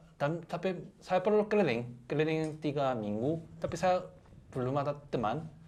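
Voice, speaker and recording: A man with a fairly high pitch and lively intonation at a moderate pace. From South Korea. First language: Korean (speaking Indonesian). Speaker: guest, Korean husband. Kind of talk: casual chat. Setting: radio studio. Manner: halting, many repeated words.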